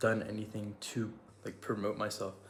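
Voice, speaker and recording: Over noticeable background noise, a man talks at a fairly quick pace in a fairly low voice. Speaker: vlogger. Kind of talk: casual vlog talk. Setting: walking around while recording. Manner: monotone; halting, many pauses.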